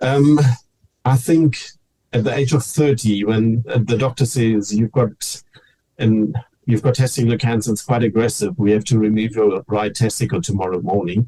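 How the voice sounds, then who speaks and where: A man with a dark, mellow tone speaks at medium pitch and a moderate pace, somewhat breathy. His loudness stays very even, with ordinary pitch variation. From Namibia, German-descended family. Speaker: cancer survivor and teacher. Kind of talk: interview testimony.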